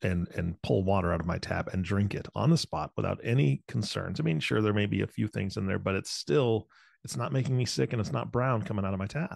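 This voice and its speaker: The voice moves at a fairly quick pace with vocal fry and very wide pitch swings. The sound is dry and close with no echo, over a quiet background. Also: man. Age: 40s. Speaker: podcast co-host. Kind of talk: casual chat.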